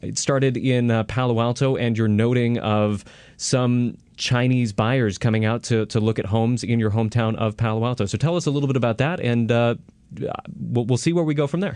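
A man's unremarkable speaking voice with an American accent, medium pitch, ordinary pitch variation, very even loudness and a fairly quick pace. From California, Milpitas. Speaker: radio host. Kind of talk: radio interview. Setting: radio studio.

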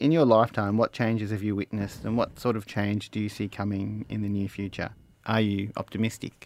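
A man with a strong Australian accent talks at a fairly quick pace in a fairly low pitch, his intonation fairly even. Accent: broad Australian. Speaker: mechanical engineer and interviewer. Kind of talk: interview.

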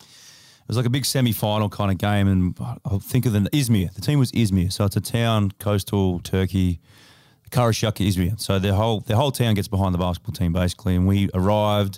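In an Australian accent and a dark, mellow tone, the speaker goes very fast with fairly even intonation on a very clean recording with a silent background. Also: man. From Australia, Adelaide. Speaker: basketball player. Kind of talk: casual chat. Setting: studio.

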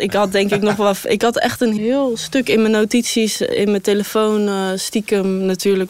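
With a plain, everyday voice, a woman speaks at medium pitch and a moderate pace, her intonation fairly even. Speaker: interviewee. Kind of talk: casual chat.

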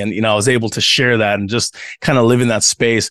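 A man talks in an animated tone with an American accent. The sound is dry and close, with no echo. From Tongan family, grew up in a US city. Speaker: pastor. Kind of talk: casual interview conversation.

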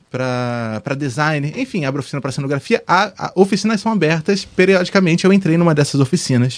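This man's pitch runs fairly high. He delivers his words very quickly. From Brazil, Fortaleza then Rio de Janeiro from childhood. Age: 20s. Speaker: TV post-production editor. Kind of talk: casual chat.

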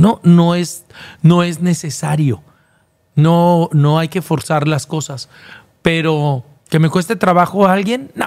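A man's high-pitched voice at a very slow pace, with ordinary pitch variation and long, frequent pauses. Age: 50s. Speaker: TV presenter and former reality show contestant. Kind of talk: casual interview.

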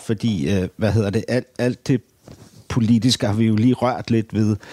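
Speaking at a fairly slow pace, a man has a dark, mellow tone in a dry, close sound with no echo. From Denmark, Copenhagen area. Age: 50s. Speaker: podcast host and interviewer. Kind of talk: interview. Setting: politician's office.

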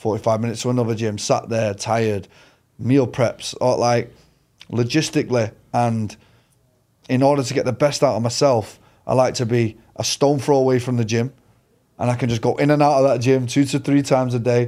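Recorded very cleanly against a silent background, a man with a Mancunian accent talks at a medium pitch and fairly quick pace, with a dark, mellow tone and fairly even intonation. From Manchester, England. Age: 30s. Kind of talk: casual interview.

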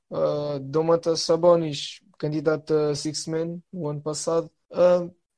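A man's high-pitched voice with a dark, mellow tone and a European Portuguese accent, monotone and flat in intonation, at a very slow pace. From Portugal. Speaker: podcast guest. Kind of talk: casual chat. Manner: hesitant, many filler sounds.

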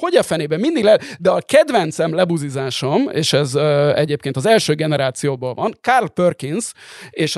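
A plain, everyday voice from a man, fairly high in pitch with ordinary pitch variation, at a moderate pace, dry and close with no echo. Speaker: podcast co-host. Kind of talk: casual chat.

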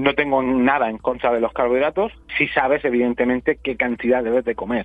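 Here a man talks in a plain, everyday voice. He moves at a fairly quick pace. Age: 40s. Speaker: keto diet educator. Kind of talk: interview.

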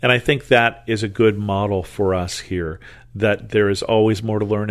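He has an ordinary speaking voice, fairly low in pitch, and the man's intonation stays fairly even. His pace is moderate against a quiet background. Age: 60s. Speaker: Bible study podcast host. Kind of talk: Bible teaching.

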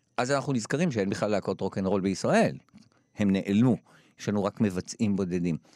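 This is a man with an ordinary speaking voice, his fairly low pitch showing ordinary variation. The sound is dry and close with no echo, in a very clean recording with a silent background. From Israel, Jerusalem. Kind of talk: interview.

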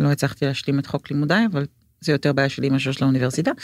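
A woman speaks with a very deep, low pitch. The recording is dry and close, with no echo. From Israel, Jerusalem. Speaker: book and script editor. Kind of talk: interview conversation.

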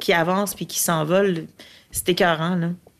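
A woman talks very fast at a medium pitch with monotone, flat intonation. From Latin America. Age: 40s. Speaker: film producer. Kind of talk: casual interview chat.

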